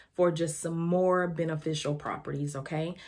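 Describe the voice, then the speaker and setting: Amid noticeable background noise, a woman with a Southern US accent speaks at a fairly low pitch in a monotone, flat way. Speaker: lifestyle and devotional vlogger. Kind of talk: casual vlog tutorial. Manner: conversational, relaxed.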